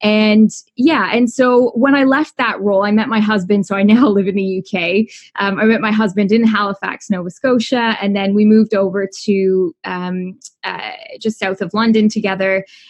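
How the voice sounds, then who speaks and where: In a Canadian accent, a woman uses a plain, everyday voice at a medium pitch, moderate pace and ordinary pitch variation. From Canada. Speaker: dietitian. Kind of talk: podcast interview.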